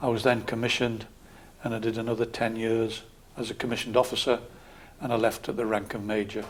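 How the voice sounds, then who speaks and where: The speaker has a Geordie accent. Their intonation stays monotone and flat. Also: man. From northern England, Newcastle area. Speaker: local councillor and army veteran. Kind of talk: interview. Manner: calm.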